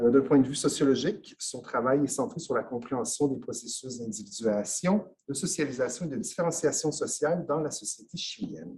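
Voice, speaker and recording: A man with a non-native accent, fairly high in pitch and somewhat breathy, at a moderate pace with lively intonation and big swings in loudness. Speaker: conference host. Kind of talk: formal introduction. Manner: hesitant, frequent filler.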